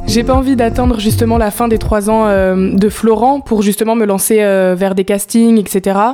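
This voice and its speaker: Fairly slow, fairly high-pitched speech from a woman with hardly any pauses, fairly even intonation and very even loudness, against noticeable background noise. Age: young. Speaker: musical theatre student. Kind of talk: interview.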